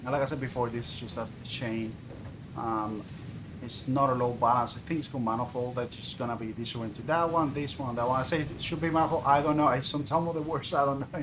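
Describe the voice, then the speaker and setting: Someone with a non-native accent talks at a very fast pace with fairly even intonation. Audible room echo and noticeable background noise are present. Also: man, medium pitch for a man. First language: not English. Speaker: video game streamer. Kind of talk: gameplay livestream commentary. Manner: halting, many fillers.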